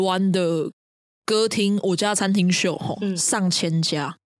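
Her medium pitch and fairly slow pace mark a woman with a plain, everyday voice. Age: young. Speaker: podcast co-host. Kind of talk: casual chat.

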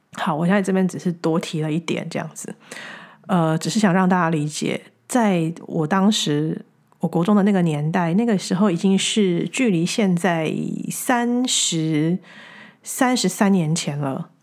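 With a Taiwanese accent, a woman talks at a fairly slow pace and a fairly low pitch. Her pitch varies in an ordinary way, on a very clean recording with a silent background. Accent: Taiwanese Mandarin. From Taiwan, Taichung. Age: 40s. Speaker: podcast host, spiritual teacher. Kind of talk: reflective spiritual monologue. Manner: halting, frequent repetitions.

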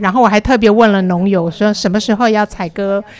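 Her pitch medium, a woman talks at a fairly quick pace with fairly even intonation. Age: 50s. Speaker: community college tour-guide teacher. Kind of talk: casual chat.

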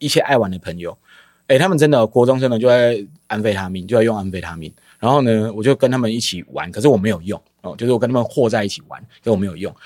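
A man rattles off his words at a very fast pace, very cleanly recorded against a silent background. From Taiwan. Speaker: drama educator, founder of youth theatre group. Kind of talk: casual interview.

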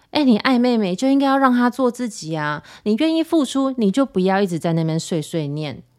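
Animated and fairly high-pitched, a woman's voice makes very wide pitch swings with hardly any pauses, in a very clean recording with a silent background. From Taiwan. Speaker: podcast host. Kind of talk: casual monologue.

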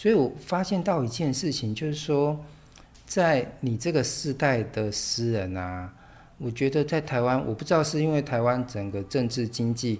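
This man has an unremarkable speaking voice at a medium pitch. He talks at a fairly slow pace with lively intonation. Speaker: podcast host and literature teacher. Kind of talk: casual interview.

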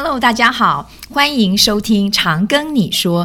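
At a moderate pace, a woman uses lively intonation in an ordinary speaking voice. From Taiwan (Yonghe, New Taipei). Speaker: podcast host, nursing lecturer. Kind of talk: casual interview chat.

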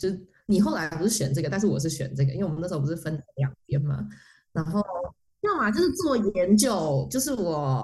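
This woman talks at a fairly quick clip with an animated tone. Her intonation is lively, and vocal fry creeps in. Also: fairly low pitch for a woman. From Taiwan. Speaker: motion designer. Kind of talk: casual chat. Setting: remote call from France. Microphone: poor cross-border recording quality.

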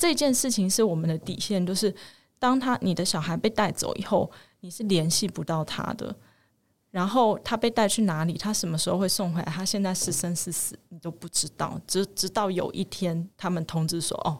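At a medium pitch and moderate pace, a woman speaks in a somewhat breathy voice with ordinary pitch variation, on a very clean recording with a silent background. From Taiwan. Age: 30s. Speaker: mother, interviewee. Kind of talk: interview testimony.

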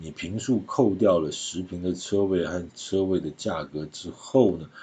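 Lively intonation marks a man's somewhat breathy voice. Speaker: real estate podcast host. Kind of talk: solo podcast commentary. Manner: chatty, conversational with filler particles.

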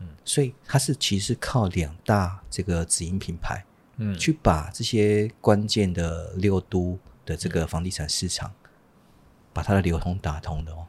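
A man's very deep, low, somewhat breathy voice at a fairly slow pace, on a very clean recording with a silent background. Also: ordinary pitch variation. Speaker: real estate executive. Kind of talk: casual interview.

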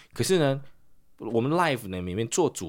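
The recording is very clean, and the background is silent. This man's pitch swings very widely. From Taiwan. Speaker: English teacher and podcaster. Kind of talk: casual interview.

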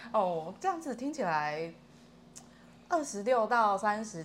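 A woman speaks at a moderate pace with lively intonation. Room echo is audible. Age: 30s. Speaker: self-employed online language tutor. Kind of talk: casual chat.

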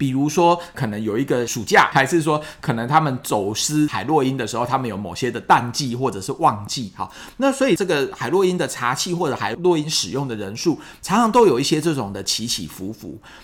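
Talking at a fairly quick pace with hardly any pauses, a man with an unremarkable speaking voice keeps his medium-pitched intonation lively. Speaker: psychiatrist podcast host. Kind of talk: solo science explainer. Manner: conversational with frequent fillers.

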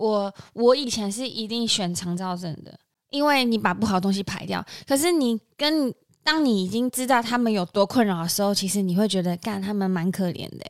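In a normal speaking voice, a woman talks at medium pitch and a moderate pace with lively intonation. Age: 30s. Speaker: podcast co-host. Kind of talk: casual chat.

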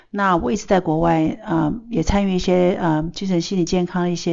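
A woman's fairly low-pitched, fairly quick delivery, intonation fairly even, in an unremarkable speaking voice. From Taiwan. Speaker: pharmaceutical researcher and mental health educator. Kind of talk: casual chat. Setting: studio.

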